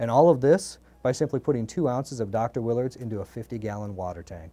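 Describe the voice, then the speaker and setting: At a fairly quick pace, a man speaks at medium pitch with ordinary pitch variation and a dark, mellow tone. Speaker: company executive. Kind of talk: interview. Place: studio. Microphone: lapel.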